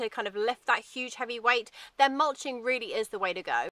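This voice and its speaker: A woman speaks in a high voice with a bright, sharp tone, recorded dry with no echo. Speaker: presenter. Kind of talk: conversational product review. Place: garden.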